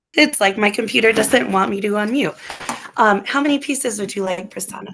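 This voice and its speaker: A woman speaks at a fairly quick pace with lively intonation. Noticeable background noise can be heard. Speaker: poet. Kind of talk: poetry reading.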